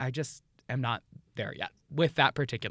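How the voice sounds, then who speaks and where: With an American accent, a man talks at a medium pitch with ordinary pitch variation and vocal fry, in a dry, close sound with no echo. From New York City. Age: 30s. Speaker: drag performer. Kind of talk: casual interview.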